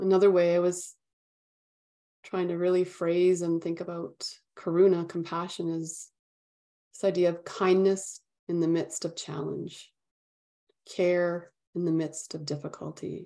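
In a dark, mellow tone, a woman speaks at a fairly slow pace with fairly low pitch and monotone, flat intonation, leaving long, frequent pauses. The recording is very clean, with a silent background. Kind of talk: guided meditation. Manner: calm, gentle, unhurried.

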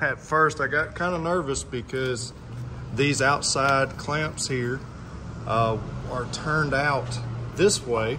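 Against noticeable background noise, a man speaks at a very slow pace with long, frequent pauses. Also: ordinary pitch variation. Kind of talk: tutorial. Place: garage. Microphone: phone near.

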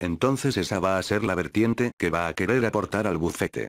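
A man with a Spanish accent, fairly low-pitched and fairly quick, with ordinary pitch variation, in a very clean recording with a silent background. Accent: Spanish (Spain). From Spain. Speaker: actor. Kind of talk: interview answer.

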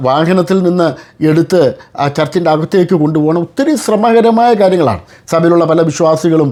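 A man speaks at a high pitch with a dark, mellow tone and very even loudness. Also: ordinary pitch variation. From India, Kerala (Kottayam, Manarcad area). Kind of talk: interview with religious commentary. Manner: formal.

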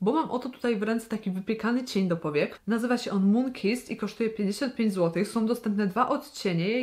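At a moderate pace, a woman speaks in an animated tone at a fairly high pitch with ordinary pitch variation. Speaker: beauty vlogger. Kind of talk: makeup tutorial and product review.

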